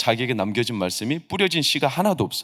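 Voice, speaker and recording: Very fast and animated, a man talks with lively intonation. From South Jeolla, South Korea (Mokpo). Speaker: pastor. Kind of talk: sermon. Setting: church service. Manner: animated, conversational.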